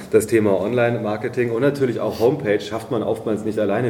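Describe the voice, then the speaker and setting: A man at a fairly low pitch, at a very fast pace with fairly even intonation, over noticeable background noise. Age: 40s. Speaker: podcast host for hospitality association. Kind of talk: interview.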